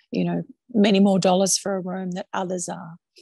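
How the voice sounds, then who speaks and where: A woman speaks in a medium pitch, somewhat breathy and dark and mellow in tone, with monotone, flat intonation. The sound is dry and close with no echo, over a quiet background. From Australia. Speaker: hotel managing director. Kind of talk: interview.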